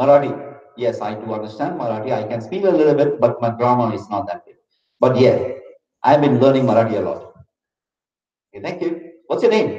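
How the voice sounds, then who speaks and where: In a room with audible room echo, a man with a Keralan accent speaks at a moderate pace, with long, frequent pauses and big swings in loudness. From India, Maharashtra (raised in Loni hostel). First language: Malayalam. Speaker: motivational speaker. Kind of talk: interactive talk to school audience.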